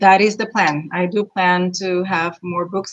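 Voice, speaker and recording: Speaking with a Spanish accent, a woman's voice sits at a medium pitch. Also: quiet background. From Puerto Rico. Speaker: children's author and meteorologist. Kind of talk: panel interview.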